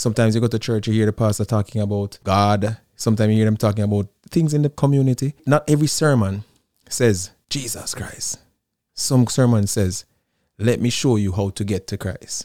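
In a Jamaican accent, a man with a fairly low pitch speaks in a dark, mellow tone, with a dry, close sound and no echo. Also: ordinary pitch variation, fairly quick pace, very clean recording, silent background. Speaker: musician, singer-songwriter. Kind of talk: casual interview chat.

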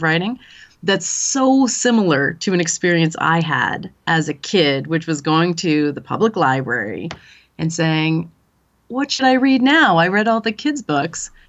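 With a Canadian accent, a woman talks at a moderate pace in an unremarkable speaking voice pitched fairly low. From small-town Canada. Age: 40s. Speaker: literature professor. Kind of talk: interview.

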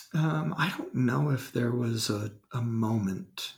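Speaking at a very slow pace, a man uses a calm, somewhat breathy tone at medium pitch with lively intonation. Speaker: marketing executive. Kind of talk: casual interview.

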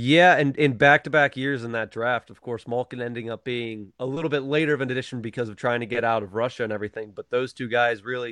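With an American accent and a plain, everyday voice, a man talks at a fairly quick pace, his medium pitch held in fairly even intonation. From western Pennsylvania, Johnstown. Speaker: hockey fan. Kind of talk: casual chat.

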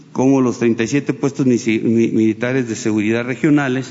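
Noticeable background noise runs beneath speech with fairly even intonation. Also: man. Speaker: defense official. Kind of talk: official briefing.

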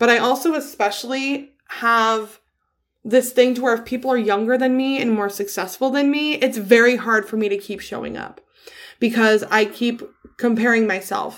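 In a normal speaking voice, a woman talks at a fairly high pitch. Her pace is moderate and her intonation fairly even. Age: 30s. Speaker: podcast host. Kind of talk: casual monologue. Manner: casual with fillers.

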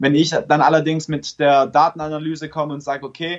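A man talks at a fairly quick pace with a fairly high pitch and monotone, flat intonation. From Stuttgart, Germany. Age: 20s. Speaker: app developer and startup founder. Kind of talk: casual interview.

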